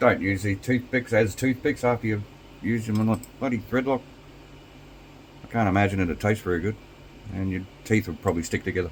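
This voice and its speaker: Somewhat breathy and fairly low in pitch, a man talks at a fairly quick pace broken by long, frequent pauses. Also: ordinary pitch variation. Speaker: RC hobby youtuber. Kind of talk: tutorial. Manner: casual, with many fillers.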